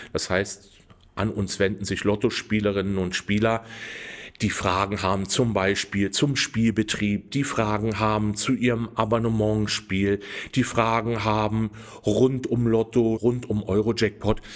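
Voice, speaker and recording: A man talks with monotone, flat intonation at a fairly slow pace. His voice sits at a fairly low pitch. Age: 50s. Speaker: customer service manager and lottery winner adviser. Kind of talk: interview.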